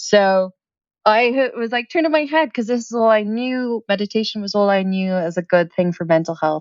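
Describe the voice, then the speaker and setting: Her intonation lively, a woman talks at a moderate pace in a fairly high pitch. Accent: American. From Ireland, Dublin. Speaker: startup founder. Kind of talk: podcast interview. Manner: energetic.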